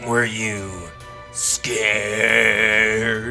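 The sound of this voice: The clip features an unforced reading voice. It is an unforced reading voice throughout.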